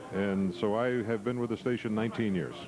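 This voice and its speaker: A man with an American accent is speaking. His pitch is medium, and there is noticeable background noise. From southern Illinois. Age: 60s. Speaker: TV news anchor. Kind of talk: interview.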